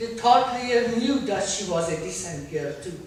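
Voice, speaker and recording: In a strong Persian accent, a woman speaks fairly slowly in a fairly high pitch, with audible room echo and noticeable background noise. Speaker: author. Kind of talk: reading aloud.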